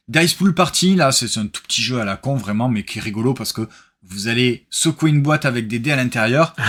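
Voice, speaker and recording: Speaking at a fairly quick pace, a man with a medium pitch uses lively intonation on a very clean recording with a silent background. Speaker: board game reviewer and streamer. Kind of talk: casual live-stream recap chat. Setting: live stream with co-host. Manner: fast.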